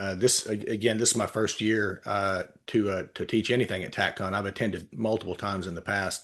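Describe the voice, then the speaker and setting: A man with a Texan accent, fairly low pitch, fairly quick pace, quiet background. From Texas. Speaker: retired police officer and litigation consultant. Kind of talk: interview. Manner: halting, many filler words.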